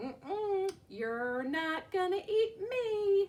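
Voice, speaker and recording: A woman's squeaky, put-on character voice, extremely high in pitch and at a very slow pace. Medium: read story. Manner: taunting, playful.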